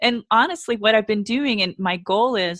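With a plain, everyday voice, a woman talks at a fairly high pitch and moderate pace, her intonation lively. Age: 50s. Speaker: yoga and Pilates instructor, former dancer. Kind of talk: interview.

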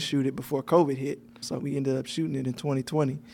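Talking at a very fast pace, a man with an American accent keeps a fairly high pitch and fairly even intonation. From Alabama. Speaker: film writer and director. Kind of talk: casual interview chat.

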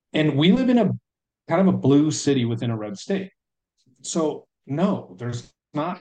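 Fairly slow and somewhat breathy, a man's fairly high voice has a dark, mellow tone and very wide pitch swings. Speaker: military service member and father. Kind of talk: casual chat.

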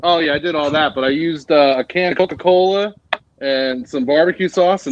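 An ordinary speaking voice from a man with an American accent, ordinary pitch variation, and a fairly quick pace. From New Jersey. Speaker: listener. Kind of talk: storytelling. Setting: video call.

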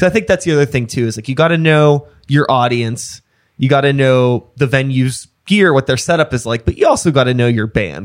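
A man with an American accent talks at a fairly quick pace and medium pitch. His pitch variation is ordinary, and the recording is very clean with a silent background. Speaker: podcast host and musician. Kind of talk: casual chat. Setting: studio. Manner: animated.

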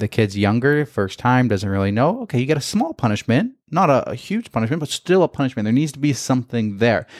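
A man with an unremarkable speaking voice at medium pitch uses lively intonation at a fairly quick pace, with a dry, close sound and no echo. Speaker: podcast host. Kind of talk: casual podcast chat, reading Reddit stories.

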